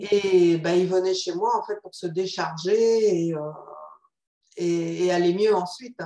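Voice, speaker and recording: At a very slow pace, a woman with a medium-pitched voice speaks with fairly even intonation, big swings in loudness, and long, frequent pauses. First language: Spanish (speaking French). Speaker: psychotherapist. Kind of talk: interview.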